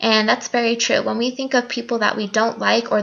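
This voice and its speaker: A woman speaks at a fairly high pitch in an American accent. Noticeable background noise sits behind her. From Nevada, US. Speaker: college student. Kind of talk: class video presentation. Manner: loud; halting.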